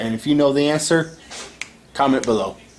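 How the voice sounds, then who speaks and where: A man talks with ordinary pitch variation against noticeable background noise. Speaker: toy customizer YouTuber. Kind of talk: tutorial. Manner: halting.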